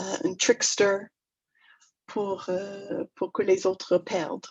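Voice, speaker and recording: A woman speaks in a medium pitch with a slight English-Canadian accent. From Toronto, Canada (English-speaking). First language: English (speaking French). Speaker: negotiation trainer. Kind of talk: webinar talk. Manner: halting, many hesitations.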